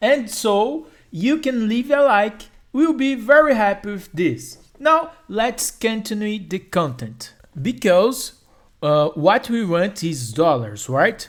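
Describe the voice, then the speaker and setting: Someone speaks at a very slow pace in a Brazilian Portuguese accent. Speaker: YouTuber. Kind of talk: tutorial. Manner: halting.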